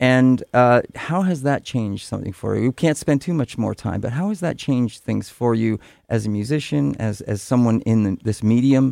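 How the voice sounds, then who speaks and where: A man talks with a lively intonation and hardly any pauses. His tone is dark and mellow, on a very clean recording with a silent background. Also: medium pitch for a man, moderate pace. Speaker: radio host. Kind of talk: radio show hosting, interviews. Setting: studio.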